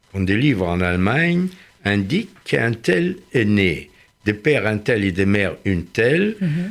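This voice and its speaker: Pitch swings very widely as this man speaks. He talks at a fairly slow pace. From Germany. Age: 80s+. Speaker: Holocaust survivor. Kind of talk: radio interview answer.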